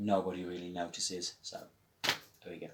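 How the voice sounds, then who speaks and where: A man at a moderate pace with a Birmingham accent. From West Midlands, England (Walsall, Birmingham). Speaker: live-action roleplayer, video creator. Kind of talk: casual show-and-tell tutorial. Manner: hesitant, many fillers.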